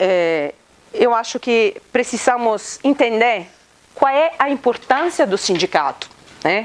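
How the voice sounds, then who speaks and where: At a very slow pace and with an Italian accent, a woman speaks at a high pitch with very wide pitch swings and very even loudness, over noticeable background noise. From Italy. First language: Italian (speaking Portuguese). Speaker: law professor. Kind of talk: lecture. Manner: interactive, many hesitations and tag questions.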